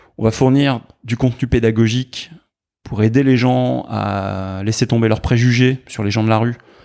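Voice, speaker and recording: At a moderate pace, a man speaks at medium pitch in a dark, mellow tone with fairly even intonation, recorded very cleanly against a silent background. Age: 50s. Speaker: tech entrepreneur and charity founder. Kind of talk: casual interview.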